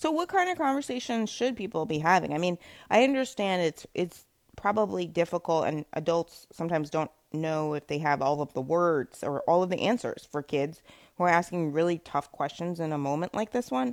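Lively intonation in an unremarkable speaking voice. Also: woman, fairly low pitch for a woman, very clean recording, silent background. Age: 40s. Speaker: radio host. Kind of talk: interview.

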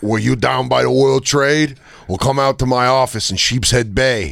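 A man uses a put-on character voice at a medium pitch. His pace is moderate. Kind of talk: hard-sell pitch.

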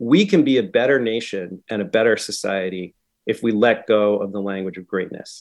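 In an American accent, a plain, everyday voice speaks at a moderate pace over a quiet background. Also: man. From New England, Concord, Massachusetts. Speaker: English professor and author. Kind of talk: radio interview.

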